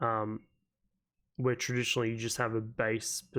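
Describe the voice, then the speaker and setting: A medium-pitched man with an Australian accent and monotone, flat intonation, in a very clean recording with a silent background. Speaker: gaming YouTuber. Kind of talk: casual talk to camera.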